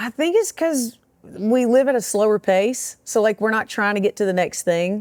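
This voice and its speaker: A woman's fairly high voice with a strong Southern accent and ordinary pitch variation, at a moderate pace, in a dry, close sound with no echo, on a very clean recording with a silent background. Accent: thick Southern. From US South, small-town Alabama. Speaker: comedian. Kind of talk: casual chat.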